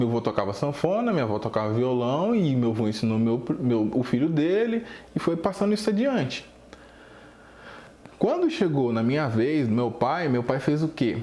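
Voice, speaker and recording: Speaking at a moderate pace with lively intonation and very even loudness, a man at medium pitch has a slight mineiro accent. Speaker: drum teacher. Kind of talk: casual video talk.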